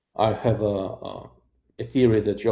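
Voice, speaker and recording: A man's somewhat breathy, fairly low voice, dark and mellow in tone, at a moderate pace with fairly even intonation. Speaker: optics reviewer, YouTuber. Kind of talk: live stream chat. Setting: hotel room. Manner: monotone.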